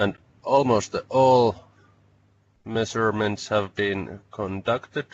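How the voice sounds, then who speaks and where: In a Finnish accent, a man speaks at a very slow pace with a fairly low pitch. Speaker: researcher. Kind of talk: webinar presentation. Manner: halting.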